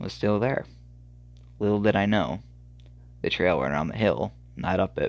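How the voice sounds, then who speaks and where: A man speaks at a moderate pace with vocal fry. His pitch is fairly low, with ordinary variation. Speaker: horror story podcaster. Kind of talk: reading aloud. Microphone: phone recording, poor equipment.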